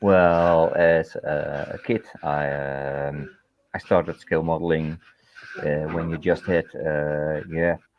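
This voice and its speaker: A very slow, monotone, flat delivery from a man with a very deep, low pitch. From Netherlands. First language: Dutch. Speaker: scale modeller, contest judge. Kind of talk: casual interview. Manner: hesitant, many fillers.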